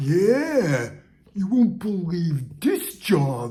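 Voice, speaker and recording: A man puts on a character voice at a high pitch. His pitch swings very widely. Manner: casual, chatty.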